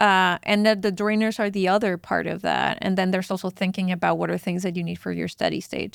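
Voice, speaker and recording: Very fast speech with a Spanish accent and hardly any pauses, on a very clean recording with a silent background. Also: woman. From northern Mexico (Chihuahua). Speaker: fintech product executive. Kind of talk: podcast interview.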